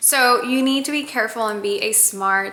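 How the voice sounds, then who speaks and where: A woman talks with ordinary pitch variation while noticeable background noise carries on behind her. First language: Spanish. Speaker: lifestyle vlogger. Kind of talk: casual haul vlog.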